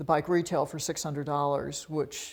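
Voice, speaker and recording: In a very clean recording with a silent background, a woman speaks very fast at a very deep, low pitch with monotone, flat intonation. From US South, Montgomery, Alabama. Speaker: bicycle designer and company founder. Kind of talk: personal profile interview.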